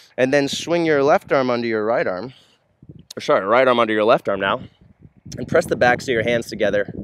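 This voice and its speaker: A man speaks in a relaxed tone at a medium pitch, with ordinary pitch variation. His pace is fairly quick, broken by long, frequent pauses. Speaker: yoga instructor. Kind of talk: guided yoga workout instruction, calm and clear cues. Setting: outdoors, filming at a park. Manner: steady, instructional, relaxed with a few filler words.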